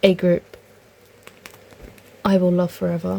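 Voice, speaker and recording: Noticeable background noise sits behind a woman with a fairly low pitch who speaks at a moderate pace. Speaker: k-pop photocard collector youtuber. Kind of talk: casual vlog talk. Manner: halting, many fillers.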